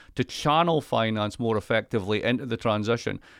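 A man speaks at a fairly quick pace with a Scottish accent. His pitch varies in an ordinary way. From Scotland. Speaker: economist. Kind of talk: casual chat.

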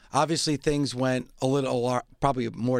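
A man speaks at a medium pitch and a fairly quick pace. His intonation is monotone and flat, in a very clean recording with a silent background. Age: 50s. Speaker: wrestling podcast host. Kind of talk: casual chat.

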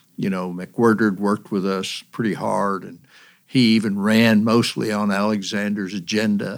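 In a very clean recording with a silent background, a man speaks with an East Tennessee accent at a moderate pace. His pitch is fairly low and his intonation monotone and flat. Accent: East Tennessee Southern. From East Tennessee, Monroe County. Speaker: state politician. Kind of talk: casual interview.

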